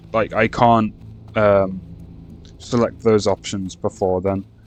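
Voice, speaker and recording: Over music in the background, a man speaks in a flat monotone. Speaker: gaming youtuber. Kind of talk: casual gameplay commentary. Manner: halting, stumbling over words.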